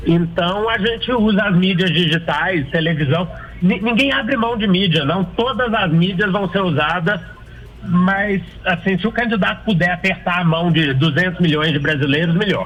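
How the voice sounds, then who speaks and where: Music plays in the background as a man speaks at a moderate pace with a high pitch. His pitch variation is ordinary and his loudness very even. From Minas Gerais, Brazil (Belo Horizonte). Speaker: political marketing consultant and author. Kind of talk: radio interview.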